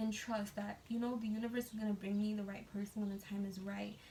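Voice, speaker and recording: A woman speaks at a fairly high pitch and a fairly quick pace in a flat monotone. Noticeable background noise can be heard. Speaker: tarot card reader. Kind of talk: tarot reading monologue. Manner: fast.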